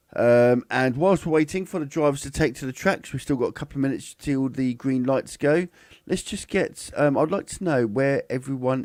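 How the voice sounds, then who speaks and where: Speaking at a moderate pace with lively intonation and hardly any pauses, a man uses a fairly high pitch. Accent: British. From England, Cambridge. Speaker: F1 live stream host. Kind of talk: live commentary. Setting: live stream from home setup. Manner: halting, many fillers and restarts.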